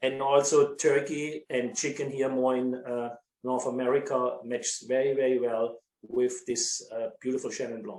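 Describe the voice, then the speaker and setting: Speaking with a strong German accent, a man keeps a medium pitch and a moderate pace in a monotone, flat delivery. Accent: thick German. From Germany. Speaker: winery sales director. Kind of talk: casual chat. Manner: halting.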